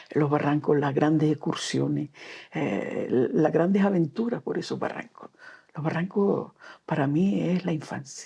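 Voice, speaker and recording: A woman's very deep, low voice, dark and mellow, with vocal fry, ordinary pitch variation and a fairly slow pace. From Canary Islands (Gran Canaria). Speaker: storyteller and children's author. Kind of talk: interview. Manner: halting.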